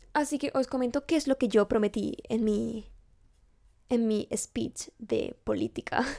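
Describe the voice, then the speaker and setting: A woman's fairly high voice with vocal fry, at a fairly slow pace, in a dry, close sound with no echo. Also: ordinary pitch variation. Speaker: vlogger and university student. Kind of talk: casual vlog to camera. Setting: home recording setup.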